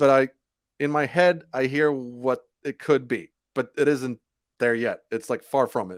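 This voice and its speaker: At a moderate pace, a man speaks in a dry, close sound with no echo. The recording is very clean, with a silent background. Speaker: rock band singer and guitarist. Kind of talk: podcast interview. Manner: halting.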